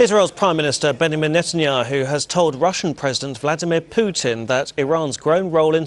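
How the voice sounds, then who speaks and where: With noticeable background noise, a man talks at a fairly quick pace. His pitch is fairly high, with ordinary pitch variation. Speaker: news presenter. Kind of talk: TV news read.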